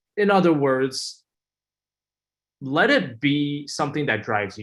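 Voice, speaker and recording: Against a quiet background, a man with a Chinese accent speaks with lively intonation. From US, came from China aged 7. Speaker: student panelist. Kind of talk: webinar panel talk. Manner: hesitant, many fillers.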